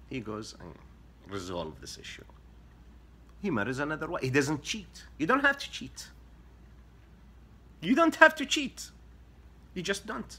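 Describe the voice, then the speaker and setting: A man with an Arabic accent talks at a moderate pace with long, frequent pauses and big swings in loudness. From Saudi Arabia. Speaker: social media commentator. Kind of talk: explainer monologue to camera.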